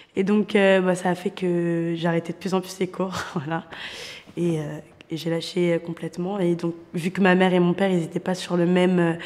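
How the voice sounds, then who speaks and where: At a moderate pace, a woman speaks with medium pitch. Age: 20s. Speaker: young volunteer in a job-training programme. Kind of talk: testimony.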